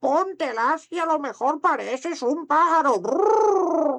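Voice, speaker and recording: In a put-on character voice, the speaker talks at a fairly slow pace with a high pitch. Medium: read story. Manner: trills "brrr" between phrases.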